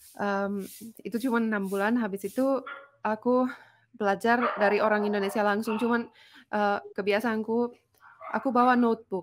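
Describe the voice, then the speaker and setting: A woman with a fairly high pitch talks at a moderate pace in a monotone, flat intonation. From Finland. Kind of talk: casual chat.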